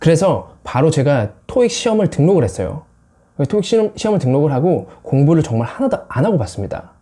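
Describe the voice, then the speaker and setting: A man's fairly high, dark and mellow voice with vocal fry, very wide pitch swings and a very fast pace. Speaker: English-learning YouTuber. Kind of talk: personal vlog monologue.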